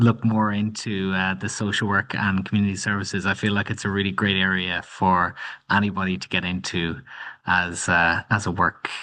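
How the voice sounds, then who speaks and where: A man's bright, sharp voice at fairly low pitch, moderate pace and fairly even intonation, against a quiet background. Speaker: webinar host. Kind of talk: webinar moderation. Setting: online webinar.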